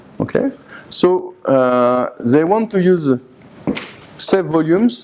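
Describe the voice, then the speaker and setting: A man speaks very slowly with a French accent. Noticeable background noise runs behind him. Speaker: university IT engineer, conference speaker. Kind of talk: conference presentation. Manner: halting, with many hesitations.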